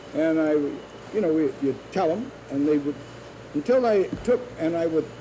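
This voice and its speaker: Noticeable background noise accompanies a man with a fairly high voice and an American accent. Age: 70s. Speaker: food company founder. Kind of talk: news interview.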